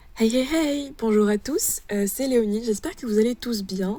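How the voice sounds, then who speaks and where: Over background music, a woman speaks at a fairly high pitch with ordinary pitch variation. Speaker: art youtuber. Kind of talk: casual chat. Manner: hesitant, many fillers.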